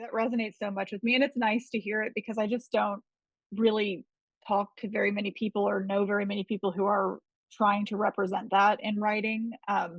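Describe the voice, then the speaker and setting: A woman with a slight Gulf Coast accent speaks at a fairly quick pace in a somewhat breathy, medium-pitched voice. Her intonation is monotone and flat, and the sound is dry and close with no echo. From US Gulf Coast. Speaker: podcast host and interviewer. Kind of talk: interview. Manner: casual, rambling.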